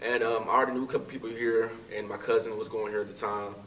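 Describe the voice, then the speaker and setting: There is noticeable background noise. Over it, a man speaks very fast. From Texas, Fort Worth. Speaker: graduate student. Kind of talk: interview.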